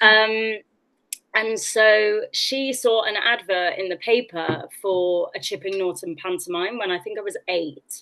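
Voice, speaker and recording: With a slight West Country accent, the bright, sharp voice moves at a fairly slow pace with ordinary pitch variation. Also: woman. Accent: slight West Country twang. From West Country, England (Oxfordshire/Gloucestershire border). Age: 30s. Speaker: actress. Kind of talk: interview guest, personal storytelling.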